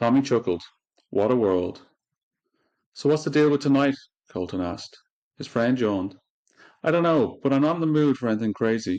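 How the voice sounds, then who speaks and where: With an Irish accent, a man speaks at a fairly quick pace and medium pitch, his intonation lively. Long, frequent pauses break up his speech against a quiet background. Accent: Irish brogue. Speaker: podcast host and audiobook reader. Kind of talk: reading aloud. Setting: podcast recording on video.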